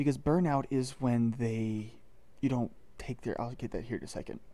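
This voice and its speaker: A man speaks quietly, at a medium pitch, in a dark, mellow tone. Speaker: gaming youtuber. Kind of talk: gameplay commentary. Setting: at home recording, others asleep nearby.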